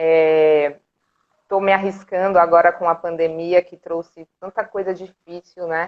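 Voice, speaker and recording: A woman at a fairly slow pace, her intonation flat and monotone, her loudness swinging widely. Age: 30s. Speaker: art educator and cultural group director. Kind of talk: casual interview on a live stream. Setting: live video stream.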